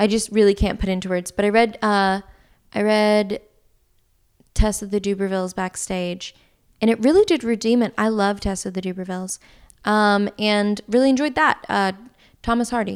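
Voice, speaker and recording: With an American accent, the speaker talks at a moderate pace and a fairly even intonation, leaving long, frequent pauses on a very clean recording with a silent background. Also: woman, medium pitch for a woman. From US South. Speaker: actress. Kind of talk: casual chat.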